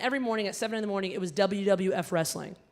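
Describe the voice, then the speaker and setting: A woman speaks at a very fast pace in an animated tone. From Alabama, US South (immigrant child). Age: young. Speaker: gala emcee and comedian. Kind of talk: stand-up. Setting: stage with audience.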